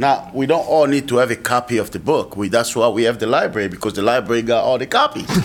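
A man of medium pitch talks at a very fast pace with hardly any pauses and ordinary pitch variation, against noticeable background noise. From Kinshasa, Congo. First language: French and Lingala. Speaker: commissioner, nonprofit executive. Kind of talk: public meeting discussion.

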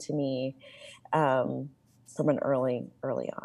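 In an American accent, a woman speaks with a dark, mellow tone. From Illinois, Champaign. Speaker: medical school diversity director. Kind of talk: interview.

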